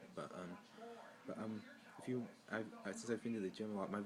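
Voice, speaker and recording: A man with an American accent speaks fairly quickly with fairly even intonation. Noticeable background noise runs underneath. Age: 20s. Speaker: college student vlogger. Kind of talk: personal vlog introduction. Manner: halting, many fillers and restarts; awkward.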